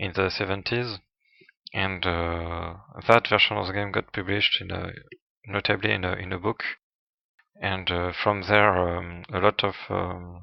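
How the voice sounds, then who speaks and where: With a non-native accent, a man speaks fairly slowly in a very deep, low voice, his intonation monotone and flat, leaving long, frequent pauses. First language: not English. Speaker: retro gaming youtuber. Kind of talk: tutorial. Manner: halting, many fillers.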